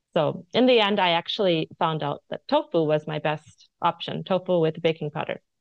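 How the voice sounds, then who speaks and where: A woman's fairly low voice in an American accent, with vocal fry, ordinary pitch variation and a moderate pace. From United States. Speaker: cookbook author and food influencer. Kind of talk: casual interview chat.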